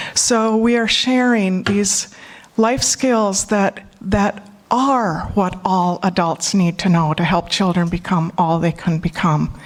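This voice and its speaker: Speaking at a very slow pace with a Minnesotan accent, a woman holds a medium pitch with ordinary variation and very even loudness. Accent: Minnesota. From US Midwest, Minnesota. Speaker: conference speaker and panel moderator. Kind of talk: conference talk. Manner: emotional, choking up.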